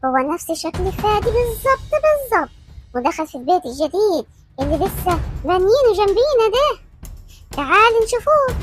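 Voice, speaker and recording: Music plays as a woman does a put-on character voice at an extremely high pitch. She speaks at a moderate pace with very wide pitch swings. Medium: audio drama. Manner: chatty, overfamiliar, calls everyone darling.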